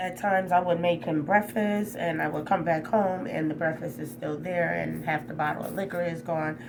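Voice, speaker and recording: A woman speaks in an animated tone at a fairly low pitch, with hardly any pauses. Audible room echo and noticeable background noise surround her. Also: ordinary pitch variation, moderate pace. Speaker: spiritual vlogger. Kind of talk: personal vlog testimony. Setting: hotel room. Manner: loud, animated.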